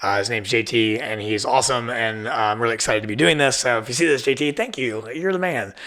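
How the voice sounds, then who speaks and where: A man with an American accent talks at a very fast pace with hardly any pauses, at a medium pitch with ordinary variation. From southern Ohio. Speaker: podcast host. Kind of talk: casual monologue. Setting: studio in old firehouse. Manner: casual, filler-heavy.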